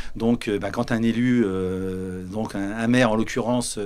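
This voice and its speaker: Ordinary pitch variation in a fairly low male voice. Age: 50s. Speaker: village mayor. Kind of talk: interview. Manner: halting. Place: studio. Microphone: handheld.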